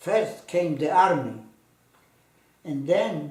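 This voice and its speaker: A man talks at a very slow pace with a Polish accent. Noticeable background noise and audible room echo surround him. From Poland, Płock. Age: 80s+. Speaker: Holocaust survivor. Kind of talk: testimony. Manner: halting.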